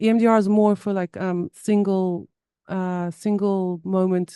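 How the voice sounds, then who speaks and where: In a South African accent, a woman talks in a medium pitch with a dark, mellow tone and flat, monotone intonation, the sound dry and close with no echo on a very clean recording against a silent background. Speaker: somatic therapy guest sharing trauma story. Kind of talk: podcast interview. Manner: halting.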